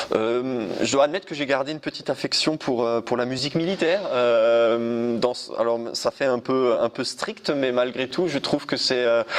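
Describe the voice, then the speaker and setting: A man talks at a moderate pace with hardly any pauses over noticeable background noise. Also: medium pitch for a man, ordinary pitch variation. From Alsace, France (Munster valley near Colmar). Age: 30s. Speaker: sommelier. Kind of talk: interview. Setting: wine cellar. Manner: hesitant, many fillers.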